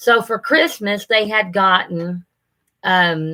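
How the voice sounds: A woman at medium pitch, slow and bright with a sharp edge, with ordinary pitch variation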